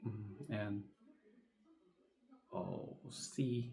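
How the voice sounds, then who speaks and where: The man's voice sits at medium pitch, somewhat breathy, with a dark, mellow tone. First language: not English. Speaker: English learner. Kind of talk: practice presentation. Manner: halting; hesitant, many fillers.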